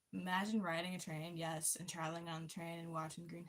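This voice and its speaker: Somewhat breathy, fairly low-pitched woman's voice with an American accent. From US. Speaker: livestream host. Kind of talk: casual chat. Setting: livestream. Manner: reading chat aloud.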